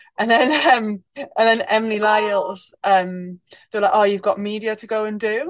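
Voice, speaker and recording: A woman with a northeast English accent talks at a moderate pace and fairly high pitch, with ordinary pitch variation and big swings in loudness. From northeast England. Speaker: international rugby player, team captain. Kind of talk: casual interview chat.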